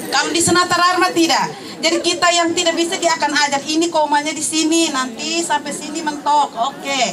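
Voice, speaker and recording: A woman's high voice at a fairly quick pace with hardly any pauses and fairly even intonation, over noticeable background noise. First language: Tetum (speaking Indonesian). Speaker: alumna, teacher. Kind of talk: testimony.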